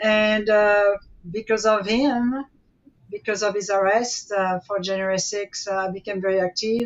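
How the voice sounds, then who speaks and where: Speaking at a moderate pace with a strong French accent, a woman uses a medium pitch and a monotone, flat intonation. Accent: French accent, still strong. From France. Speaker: activist, mother of a guest. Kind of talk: interview.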